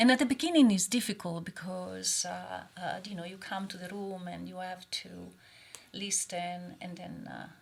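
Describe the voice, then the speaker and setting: A woman with an Italian accent, her loudness swinging widely. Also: moderate pace. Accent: Italian accent, still noticeable. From Italy. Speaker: oncologist. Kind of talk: casual chat. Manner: hesitant, many fillers.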